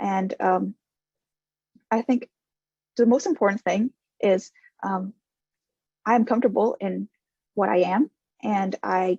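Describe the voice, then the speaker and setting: A woman speaks at a fairly slow pace with long, frequent pauses, her voice at a medium pitch with ordinary variation. Her tone is dark and mellow with vocal fry, and the sound is dry and close with no echo. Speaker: panelist. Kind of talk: panel discussion.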